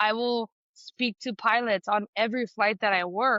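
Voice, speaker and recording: The speaker has an ordinary speaking voice with an American accent. Pitch varies in an ordinary way. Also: woman. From California. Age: 30s. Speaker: flight attendant and student pilot. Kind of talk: interview. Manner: casual, filler-heavy.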